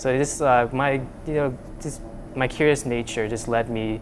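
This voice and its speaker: A man is speaking. Noticeable noise is heard in the background. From Vietnam. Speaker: undergraduate student researcher. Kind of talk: interview. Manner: halting, many fillers.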